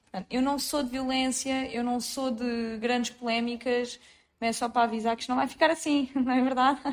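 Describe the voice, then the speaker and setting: The speaker is a woman with a high pitch. She talks at a moderate pace in a flat monotone. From Portugal, Lisbon south bank (Seixal area). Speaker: podcast co-host. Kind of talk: casual chat.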